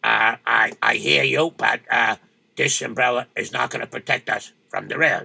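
A man puts on a raspy character voice. The sound is dry and close, with no echo. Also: moderate pace. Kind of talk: comic folk-tale acting. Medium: audio drama. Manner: resigned, deadpan.

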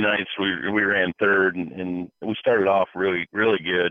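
An unremarkable speaking voice belongs to a man with a fairly low pitch. He keeps a moderate pace. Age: 40s. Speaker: sprint car driver. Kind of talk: casual interview.

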